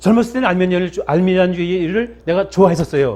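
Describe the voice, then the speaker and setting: Ordinary pitch variation marks this man's speech. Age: 60s. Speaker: pastor. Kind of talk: sermon. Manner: halting.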